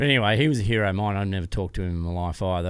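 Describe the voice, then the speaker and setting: Fairly low in pitch, a man speaks with fairly even intonation. The recording is very clean, with a silent background. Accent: Australian. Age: 60s. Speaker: off-road motorcycle racer and business founder. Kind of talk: interview answer, storytelling.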